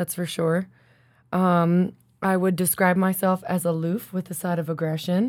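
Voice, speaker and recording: A woman's fairly low voice with an American accent and monotone, flat intonation, on a very clean recording with a silent background. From South Jersey, Philadelphia area. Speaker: podcast host, artist. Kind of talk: casual chat.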